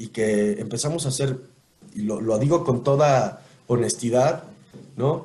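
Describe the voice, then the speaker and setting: A somewhat breathy man speaks with ordinary pitch variation. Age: 40s. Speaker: voice actor and announcer. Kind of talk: casual interview. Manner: animated.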